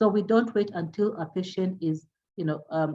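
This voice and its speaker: This woman speaks at a medium pitch with a dark, mellow tone. Her voice is somewhat breathy and shows ordinary pitch variation. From Kenya. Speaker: palliative care doctor. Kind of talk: lecture. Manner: fast.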